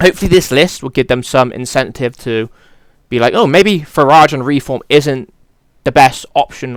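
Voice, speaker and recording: A man with a British accent speaks at a moderate pace and a medium pitch, his tone animated, his pitch varying in an ordinary way and his loudness swinging widely. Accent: British accent, regional. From Britain. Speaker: political commentary youtuber. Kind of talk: casual opinion monologue. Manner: casual, animated.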